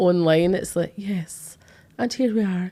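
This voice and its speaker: A woman with a Glaswegian accent, fairly low in pitch, at a fairly slow pace. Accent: Glaswegian Scottish. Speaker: psychic medium and podcast host. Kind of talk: casual chat. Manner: animated.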